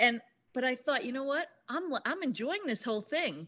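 A woman's high voice with very wide pitch swings. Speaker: cooking show contestant. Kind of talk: casual chat.

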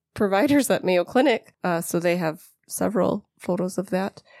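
A woman with a Wisconsin accent speaks in a dark, mellow tone, the sound dry and close with no echo. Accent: Upper Midwest (Wisconsin). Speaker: podcast co-host. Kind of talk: casual chat.

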